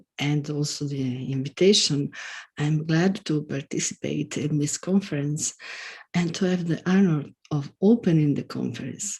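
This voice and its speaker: With ordinary pitch variation, a woman talks in a very deep, low, somewhat breathy voice. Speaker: academic keynote speaker. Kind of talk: conference keynote lecture.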